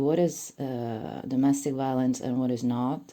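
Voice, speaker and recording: A woman with a non-native accent speaks in a very deep, low pitch with a dark, mellow tone. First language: not English. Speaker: commentary YouTuber. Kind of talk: monologue commentary video. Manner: casual, hesitant with fillers.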